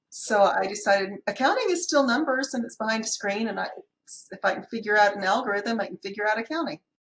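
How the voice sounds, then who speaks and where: Very fast, a woman talks with an American accent. Her intonation is lively. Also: fairly high pitch for a woman. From US Pacific Northwest (Seattle), high school in Kentucky. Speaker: accountant running a bookkeeping business. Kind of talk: casual chat.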